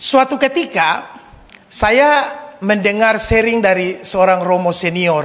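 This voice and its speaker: Amid audible room echo and noticeable background noise, a high-pitched man speaks at a very slow pace. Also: lively intonation. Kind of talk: sermon. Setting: church, Mass.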